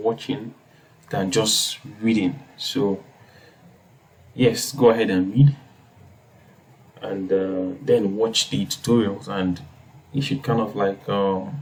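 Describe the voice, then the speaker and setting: The man's pitch varies in an ordinary way. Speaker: coding tutorial youtuber. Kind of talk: tutorial. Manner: hesitant, many fillers.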